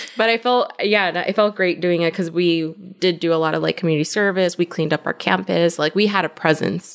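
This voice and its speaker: A woman with a normal speaking voice talks in an American accent at a fairly low pitch. Her pace is fairly quick, with fairly even intonation and hardly any pauses. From Compton, Los Angeles, California. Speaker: marketing director. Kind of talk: casual interview.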